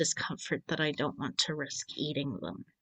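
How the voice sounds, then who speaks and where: A woman talks at a moderate pace against a quiet background. The sound is dry and close, without echo. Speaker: digital artist. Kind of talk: casual chat. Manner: casual.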